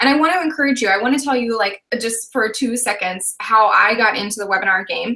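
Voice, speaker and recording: Fairly high female speech with ordinary pitch variation. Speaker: online business coach. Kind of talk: live webinar discussion. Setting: live video broadcast. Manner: fast; energetic.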